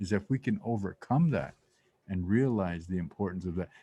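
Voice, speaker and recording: A man's fairly low-pitched voice, dark and mellow in tone, with a dry, close sound and no echo. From Wood Mountain, Saskatchewan, Canada. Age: 60s. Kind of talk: podcast discussion. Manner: halting, many fillers.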